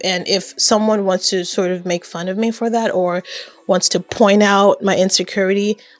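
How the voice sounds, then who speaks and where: A woman's medium-pitched voice is heard with music in the background. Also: moderate pace. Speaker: YouTube creator and web designer. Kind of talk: casual talk to camera.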